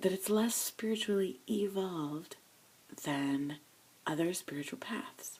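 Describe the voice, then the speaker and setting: Quiet, fairly slow speech with long, frequent pauses. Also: woman, medium pitch for a woman. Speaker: video blogger. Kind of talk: personal confession vlog. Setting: home studio. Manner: speaking quietly.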